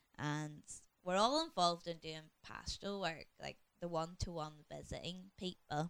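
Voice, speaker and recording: With a Northern Irish accent, a woman speaks at a fairly low pitch and moderate pace, her intonation fairly even. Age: 30s. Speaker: church deaconess. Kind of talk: casual chat. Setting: home study.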